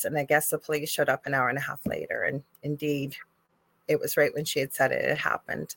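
Recorded very cleanly against a silent background, with a dry, close sound and no echo, a woman speaks with a Canadian accent at a fairly quick pace. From Canada. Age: 50s. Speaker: spiritual medium and nurse. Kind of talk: casual chat.

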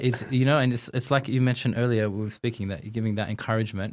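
A man with an Australian accent talks at a very fast pace. His pitch is medium, and the recording is very clean with a silent background. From Australia, Sydney. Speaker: designer and artist. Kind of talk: casual interview.

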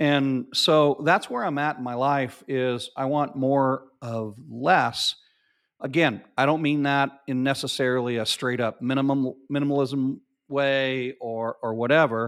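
An unremarkable speaking voice with an American accent talks at a fairly slow pace with fairly even intonation, in a very clean recording with a silent background. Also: man, medium pitch for a man. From US South, Arkansas. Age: 50s. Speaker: marketing agency founder. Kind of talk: casual chat.

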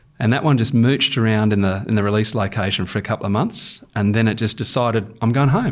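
A man with an Australian accent and a medium pitch speaks at a very fast pace with hardly any pauses. His loudness is very even, his intonation fairly even, and the recording very clean with a silent background. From Queensland, Australia (Rockhampton). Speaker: wildlife manager, former crocodile researcher. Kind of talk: interview.

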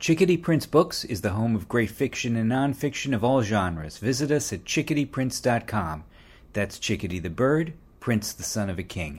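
A man speaks at a moderate pace in a medium pitch, with very wide pitch swings and vocal fry. The recording is very clean, with a silent background. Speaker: announcer. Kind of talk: promo and credits announcement reading.

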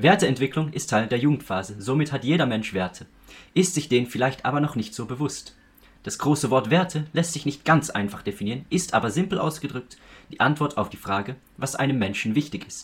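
A man with lively intonation and a somewhat breathy voice talks fairly quickly. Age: young. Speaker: student podcast co-host. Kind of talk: scripted narration.

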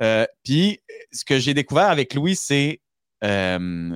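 A man speaks at a very slow pace, his pitch swinging very widely. The sound is dry and close, with no echo. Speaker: podcast co-host. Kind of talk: casual chat. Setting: remote call.

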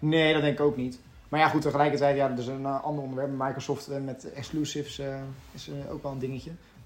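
Loudness swings widely as a man talks very fast at a fairly high pitch, his intonation monotone and flat. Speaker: gaming podcast co-host. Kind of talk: casual chat.

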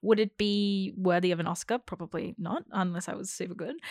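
A woman with an Australian accent, fairly low in pitch with vocal fry, ordinary pitch variation and a moderate pace, on a very clean recording with a silent background and a dry, close sound with no echo. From Australia (Melbourne). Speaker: actor and theatre co-director. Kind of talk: casual chat.

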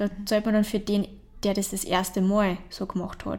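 A woman's somewhat breathy, medium-pitched voice, fairly quick and monotone with flat intonation. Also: very clean recording, silent background. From Austria, Traunsee area (Upper Austria). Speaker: painter. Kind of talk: interview. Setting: artist's studio.

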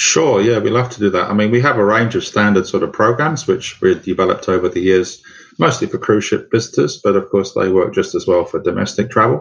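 This man talks at a fairly quick pace with a London accent, leaving hardly any pauses. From London, England. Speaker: tour operator and guide. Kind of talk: interview answers.

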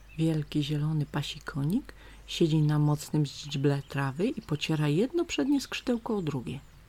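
Her voice sits very deep and low, with a dark, mellow tone that is gentle and soothing. The woman sounds somewhat breathy, and her pitch varies in an ordinary way. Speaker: nature story narrator. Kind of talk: bedtime story reading aloud with nature sounds. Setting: home, recorded with stream and birds outside window. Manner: slow, soft, gentle, soothing storyteller.

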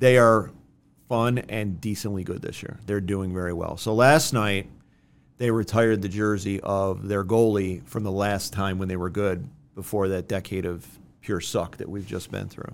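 A man with an American accent and an unremarkable speaking voice, fairly low pitch, fairly even intonation and a moderate pace. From Rochester, New York. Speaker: lawyer. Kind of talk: casual chat. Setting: studio.

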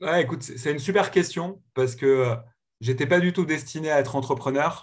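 In a very clean recording with a silent background, a man speaks somewhat breathily with ordinary pitch variation. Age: 30s. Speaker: serial tech entrepreneur. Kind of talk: podcast interview. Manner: hesitant with frequent repetitions.

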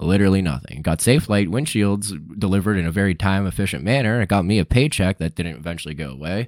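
A man's very deep, low voice with vocal fry and lively intonation, very fast with hardly any pauses, in a dry, close sound with no echo on a very clean recording with a silent background. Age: 30s. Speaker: podcast co-host. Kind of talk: casual chat. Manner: halting, repeats words.

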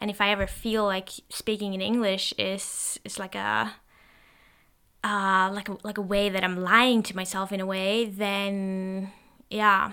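Speaking with a Norwegian accent, the voice has a bright, sharp tone and monotone, flat intonation at a fairly slow pace. The recording is very clean, with a silent background. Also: woman, medium pitch for a woman. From Norway. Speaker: solo podcaster. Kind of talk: stream-of-consciousness monologue. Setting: home recording, solo microphone. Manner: halting, many fillers.

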